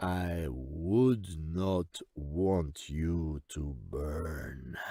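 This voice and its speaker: A man's put-on character voice, very deep and low, on a very clean recording with a silent background. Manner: slow, patronizing.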